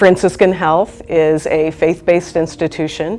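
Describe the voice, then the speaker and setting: Against music in the background, a woman speaks with a very deep, low pitch and fairly even intonation. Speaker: hospital chaplain. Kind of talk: interview answer.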